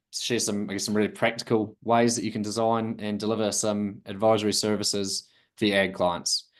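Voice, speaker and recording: A man speaks with a New Zealand accent at a moderate pace. His pitch sits fairly low, and the background is quiet. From southern New Zealand. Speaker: account executive presenting webinar. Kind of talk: webinar presentation. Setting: online webinar.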